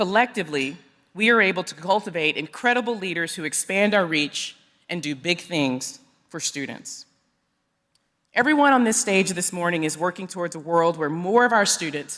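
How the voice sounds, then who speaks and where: A woman with an American accent speaks in a fairly low pitch, her intonation lively and her loudness swinging widely. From East Texas. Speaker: education executive. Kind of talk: conference speech. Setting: stage with audience. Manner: formal.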